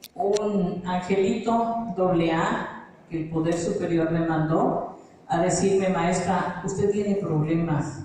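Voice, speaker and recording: Amid noticeable background noise and audible room echo, a woman speaks at a very slow pace with ordinary pitch variation. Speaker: Al-Anon member, teacher. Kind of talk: testimony.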